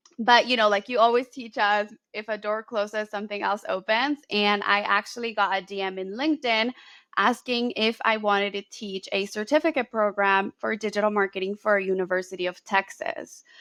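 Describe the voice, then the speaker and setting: With hardly any pauses, a woman of medium pitch speaks in a Spanish accent, her intonation fairly even and her tone bright and sharp, in a dry, close sound with no echo on a very clean recording with a silent background. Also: moderate pace. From Colombia (Bogotá) then US Bay Area from age 11. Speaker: marketing educator and business owner. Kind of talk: interview conversation.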